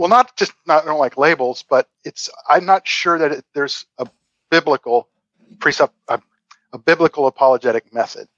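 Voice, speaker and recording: Here is a man with an unremarkable speaking voice at a moderate pace. His pitch is fairly high, with ordinary pitch variation. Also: dry, close sound with no echo. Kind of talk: interview.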